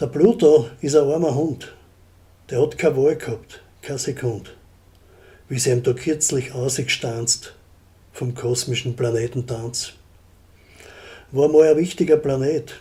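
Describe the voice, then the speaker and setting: Fairly high male voice, dark and mellow and somewhat breathy, in a Styrian accent, fairly slow with long, frequent pauses and ordinary pitch variation. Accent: Graz Styrian dialect. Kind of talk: dialect poetry reading. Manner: humorous.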